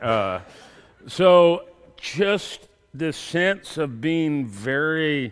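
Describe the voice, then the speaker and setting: A man speaks with a Texan accent. His intonation is lively. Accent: Texan American. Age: 60s. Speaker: professor. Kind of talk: sermon.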